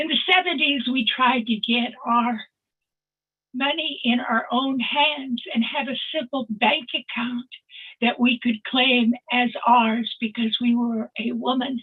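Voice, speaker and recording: A woman speaks at a very slow pace in a high pitch with fairly even intonation. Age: 80s+. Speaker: webinar participant. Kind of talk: personal testimony.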